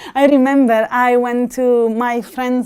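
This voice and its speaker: A very clean recording with a silent background, in an Italian accent. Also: woman. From Italy. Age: 30s. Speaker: interviewee. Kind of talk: interview. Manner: animated; halting.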